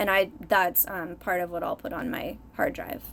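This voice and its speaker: Soft-spoken mumbling at a moderate pace. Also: woman. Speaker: art YouTuber. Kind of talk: tutorial.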